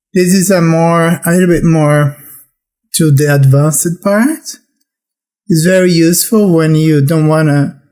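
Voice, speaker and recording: A man speaks with a non-native accent. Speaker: programming instructor. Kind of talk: tutorial.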